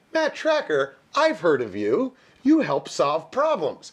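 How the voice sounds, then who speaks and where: Using a put-on character voice with an extremely high pitch, a man speaks at a fairly slow pace against a quiet background. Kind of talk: comic mocking impression. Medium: game stream.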